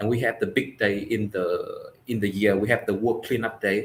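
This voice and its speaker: Somewhat breathy, the voice moves along at a moderate pace. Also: man. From Vietnam. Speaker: environmental activist. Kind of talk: interview. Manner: halting.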